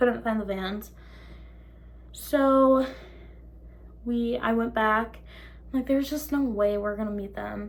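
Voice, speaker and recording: Audible room echo around a woman's fairly slow delivery. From Minnesota. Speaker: vlogger. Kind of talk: story time. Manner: animated.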